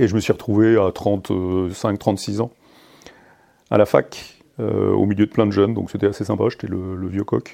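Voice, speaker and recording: A man with a dark, mellow tone and fairly low pitch, at a fairly slow pace. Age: 50s. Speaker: army officer. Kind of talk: interview. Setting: ministry office. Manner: halting.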